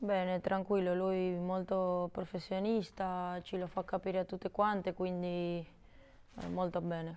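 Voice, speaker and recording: A woman talks at a fairly slow pace in monotone, flat intonation. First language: Spanish (speaking Italian). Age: 20s. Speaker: footballer. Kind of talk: interview. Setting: studio. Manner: halting. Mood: calm, somewhat shy. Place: studio. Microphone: lapel.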